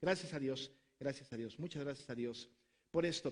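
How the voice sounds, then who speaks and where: Pitch varies in an ordinary way as the speech unfolds at a moderate pace. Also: man. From Mexico. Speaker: pastor. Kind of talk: conference talk.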